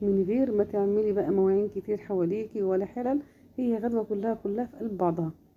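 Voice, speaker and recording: With an Egyptian accent, a woman talks at a moderate pace in a warm tone, using a medium pitch and ordinary pitch variation. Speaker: home cook / cooking channel host. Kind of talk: cooking tutorial. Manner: casual, warm, chatty.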